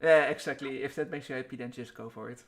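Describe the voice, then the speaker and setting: A man with a non-native accent. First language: not English. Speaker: stream host. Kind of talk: interview.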